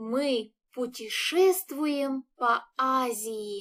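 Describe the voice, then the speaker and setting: A woman speaks at a high pitch with a Russian accent. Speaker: Russian language teacher. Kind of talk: language lesson. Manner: slow and clear, repeating phrases.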